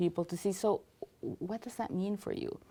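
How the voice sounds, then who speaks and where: A woman with a non-native accent speaks at a very fast pace. Her medium pitch, ordinary pitch variation and dark, mellow tone stand out. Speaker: cultural integration specialist. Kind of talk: interview.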